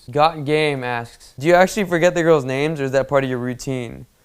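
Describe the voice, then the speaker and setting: On a very clean recording with a silent background, a man of medium pitch talks at a fairly quick pace with fairly even intonation. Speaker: dating coach. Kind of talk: Q&A answering viewer questions. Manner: fast.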